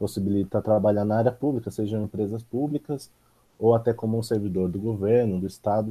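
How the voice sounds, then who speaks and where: Talking at a fairly quick pace, a man uses a fairly low pitch and a dark, mellow tone with fairly even intonation. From São Paulo state, Brazil (São José dos Campos). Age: 20s. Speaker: university economics student. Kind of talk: casual interview.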